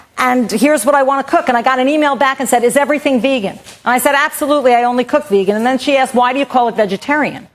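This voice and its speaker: A woman talks very fast and loud in a high voice with an American accent. She leaves hardly any pauses. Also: ordinary pitch variation. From New York. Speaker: vegan cooking instructor. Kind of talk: cooking demo.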